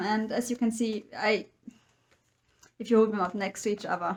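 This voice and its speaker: A woman with a non-native accent speaks at a moderate pace. Her voice is fairly high and somewhat breathy. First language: not English. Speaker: book vlogger. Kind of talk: casual monologue.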